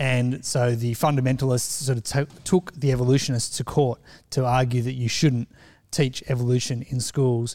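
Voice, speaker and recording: On a very clean recording with a silent background, a man with an Australian accent speaks at a medium pitch and a moderate pace, with a dark, mellow tone, monotone, flat intonation and big swings in loudness. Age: 40s. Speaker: church member. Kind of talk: casual chat.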